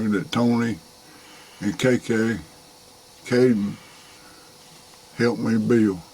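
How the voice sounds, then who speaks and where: A man with a Southern US accent speaks very slowly at medium pitch. His intonation stays fairly even over noticeable background noise. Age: 60s. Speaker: hunter, father of the channel owner. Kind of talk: casual chat. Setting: outdoors.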